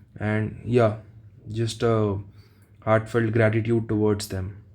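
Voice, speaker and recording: A man with an Indian accent talks at a fairly slow pace. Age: 30s. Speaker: exam aspirant vlogger. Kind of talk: casual vlog monologue. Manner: halting, slight stutter.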